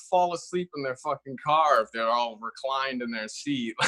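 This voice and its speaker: In a dry, close recording with no echo, a man with an unremarkable speaking voice talks at a moderate pace with lively intonation. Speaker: stand-up comedian. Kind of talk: casual chat.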